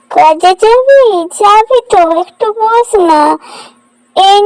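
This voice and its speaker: A woman performs a cartoonish character voice at an extremely high pitch. She goes very slowly, in a dry, close sound with no echo. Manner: gentle, affectionate.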